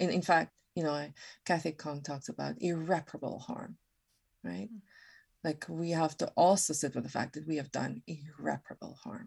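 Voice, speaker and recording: A woman with a very deep, low pitch and vocal fry speaks at a moderate pace with ordinary pitch variation, the sound dry and close with no echo. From South Africa, Western Cape. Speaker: author and anti-racism educator. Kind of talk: podcast interview, casual conversation.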